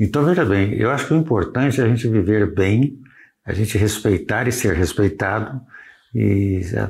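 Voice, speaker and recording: The recording is very clean, with a silent background. A man speaks at a fairly low pitch with vocal fry. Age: 70s. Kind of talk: interview.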